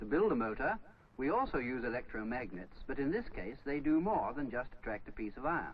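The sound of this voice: A man speaks at medium pitch with big pitch swings and a fairly quick pace. Room echo is audible.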